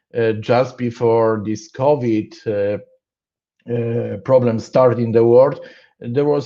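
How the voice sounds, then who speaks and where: A man with a Polish accent speaks at a very slow pace. His tone is dark and mellow, with fairly even intonation. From Poland. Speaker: conference speaker on programming. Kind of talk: technical conference talk. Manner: halting, many fillers and restarts.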